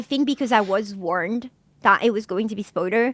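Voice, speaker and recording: A woman's fairly high, bright, sharp voice in a French accent, dry and close with no echo. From France. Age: 30s. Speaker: streamer. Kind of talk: casual podcast chat.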